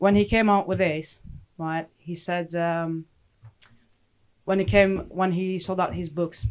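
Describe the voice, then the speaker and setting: A woman's fairly low, fairly even voice at a fairly slow pace, broken by long, frequent pauses. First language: Romanian. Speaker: sports psychologist. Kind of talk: casual chat.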